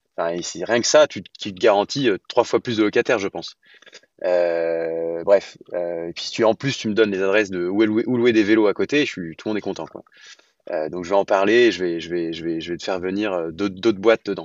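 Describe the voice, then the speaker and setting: The man talks fairly quickly in a fairly low pitch. His loudness swings widely while his pitch varies an ordinary amount. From France, Lyon. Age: 30s. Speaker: real estate entrepreneur. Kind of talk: podcast interview. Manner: hesitant, many fillers.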